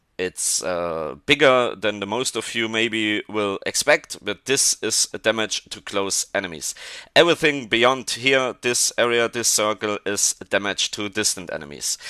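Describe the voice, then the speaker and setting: This man has a German accent and lively intonation, talking at a fairly slow pace with hardly any pauses. The sound is dry and close with no echo, over a quiet background. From Germany. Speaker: gaming video creator. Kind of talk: gameplay tutorial. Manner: halting.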